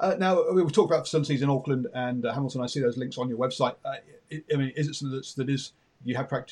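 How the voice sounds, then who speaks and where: Very fast speech in an English accent. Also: man. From England. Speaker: radio host. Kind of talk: interview.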